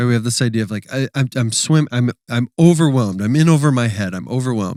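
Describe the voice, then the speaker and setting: In a very clean recording with a silent background and a dry, close sound with no echo, a man with a Wisconsin accent talks at a very fast pace in a dark, mellow tone, with medium pitch and ordinary pitch variation. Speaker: church podcast co-host. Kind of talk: casual podcast chat.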